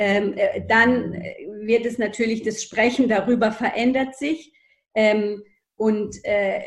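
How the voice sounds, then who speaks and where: A woman's fairly high, somewhat breathy voice at a very slow pace, with fairly even intonation. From Germany, child of Greek guest workers. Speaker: historian. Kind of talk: interview. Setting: video call. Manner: hesitant, many fillers.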